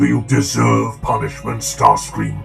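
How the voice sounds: A man's put-on character voice, fairly low-pitched with vocal fry and big pitch swings, at a fairly slow pace over faint background music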